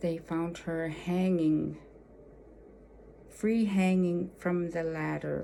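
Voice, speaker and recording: In an Alaskan accent, a woman speaks very slowly in a fairly low pitch with a dark, mellow tone and monotone, flat intonation, amid audible room echo. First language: Yupik. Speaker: storyteller. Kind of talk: personal storytelling. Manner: halting, many fillers.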